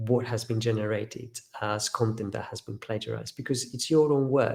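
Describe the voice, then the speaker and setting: A man's medium-pitched voice with a slight Greek accent. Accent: near-native English, slight Greek. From Greece. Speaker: professor. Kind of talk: webinar interview answer.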